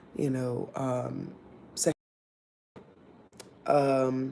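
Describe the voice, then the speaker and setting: In a room with audible echo, a woman with a very deep, low voice speaks in a flat monotone. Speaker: YouTuber sharing life stories. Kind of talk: personal storytelling. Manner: hesitant, many fillers.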